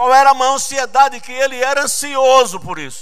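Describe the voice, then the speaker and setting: A man speaks in an animated way at an extremely high pitch, with audible room echo. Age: 60s. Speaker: pastor. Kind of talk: sermon. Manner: animated, questioning the congregation.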